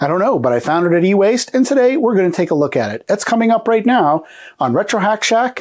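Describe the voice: A high-pitched man talks at a fairly quick pace, nasal, with a slightly mellow tone.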